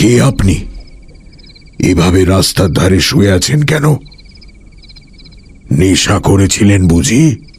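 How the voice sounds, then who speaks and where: Using a put-on character voice, a man speaks at a very deep, low pitch and a fairly slow pace, with lively intonation and very even loudness. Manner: stern, questioning.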